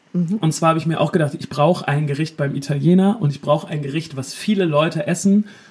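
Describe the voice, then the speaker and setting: Against noticeable background noise, a man with a fairly high pitch and ordinary pitch variation talks at a very fast pace, with hardly any pauses. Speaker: podcast co-host, musician. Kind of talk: casual chat. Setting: remote call from the North Sea coast.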